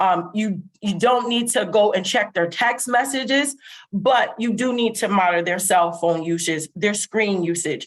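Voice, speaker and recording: With an unremarkable speaking voice, a woman talks at a fairly slow pace, her medium pitch showing ordinary variation. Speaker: webinar presenter on mental health. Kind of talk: webinar presentation. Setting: online webinar.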